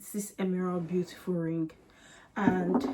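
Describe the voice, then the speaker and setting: There is noticeable background noise. Over it, a woman speaks at a fairly slow pace. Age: 20s. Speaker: lifestyle vlogger. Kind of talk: casual vlog chat.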